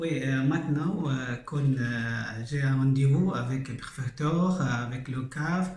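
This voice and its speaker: Over noticeable background noise and audible room echo, a man talks very slowly at a medium pitch with ordinary pitch variation. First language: not French (speaking French). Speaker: refugee. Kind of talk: testimony. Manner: halting, broken French.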